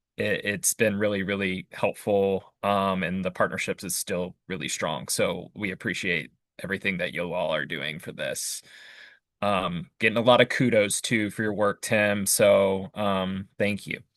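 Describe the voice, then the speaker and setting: An ordinary speaking voice moves at a fairly slow pace with fairly even intonation, the sound dry and close with no echo against a quiet background. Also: man, fairly low pitch for a man. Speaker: committee meeting facilitator. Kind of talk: public meeting.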